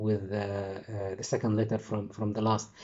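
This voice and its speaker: This man's voice is somewhat breathy, with an Arabic accent. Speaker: English teacher trainer. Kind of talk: lecture. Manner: halting.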